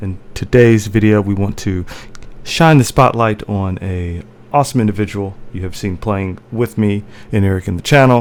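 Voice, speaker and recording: Speaking at a moderate pace, a man uses a normal speaking voice with fairly low pitch and ordinary pitch variation. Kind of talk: casual interview host talk.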